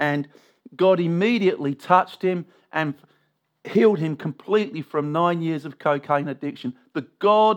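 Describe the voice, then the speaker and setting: With an English accent, a man speaks at a fairly high pitch and ordinary pitch variation. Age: 50s. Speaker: pastor. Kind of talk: sermon.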